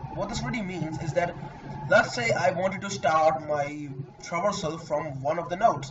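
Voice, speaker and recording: A man with a fairly high pitch and ordinary pitch variation talks at a moderate pace, with noticeable background noise behind him. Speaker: programming tutor. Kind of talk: tutorial. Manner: halting.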